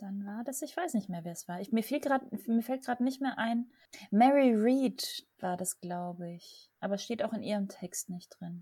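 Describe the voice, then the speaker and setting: A woman's fairly high, somewhat breathy voice, dark and mellow in tone, at a fairly slow pace with lively intonation and big swings in loudness. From southern Germany (Lech area). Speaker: board game podcast host. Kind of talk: casual chat.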